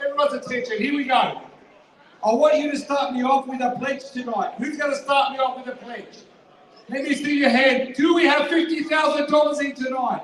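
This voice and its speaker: A loud man talks at a fairly quick pace in an extremely high pitch. Audible room echo and noticeable background noise fill the recording. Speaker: charity auctioneer. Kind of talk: live charity auction pledge appeal. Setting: fundraising dinner hall with audience. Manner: energetic.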